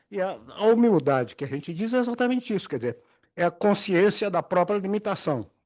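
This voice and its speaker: Against a quiet background, a man with a high pitch speaks at a fairly quick pace with lively intonation. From interior of São Paulo state (Aguaí). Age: 80s+. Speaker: retired judge and law professor. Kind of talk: lecture.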